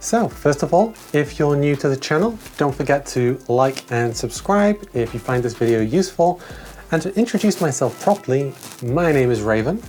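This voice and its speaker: A woman's very deep, low voice with very wide pitch swings, at a moderate pace over noticeable background noise. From Wales. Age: 30s. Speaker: video essayist. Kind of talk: video essay, casual vlog. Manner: relaxed, chatty.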